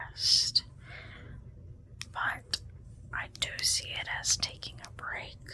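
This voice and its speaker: A woman whispers at a very slow pace in a gentle tone. Noticeable background noise sits behind her. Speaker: ASMR and tarot content creator. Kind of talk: ASMR tarot card reading, casual talk to camera. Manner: soft, gentle, lo-fi whisper-style ASMR.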